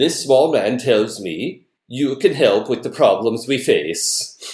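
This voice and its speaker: Putting on a booming character voice, a man speaks at medium pitch and a fairly slow pace. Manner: commanding, grand.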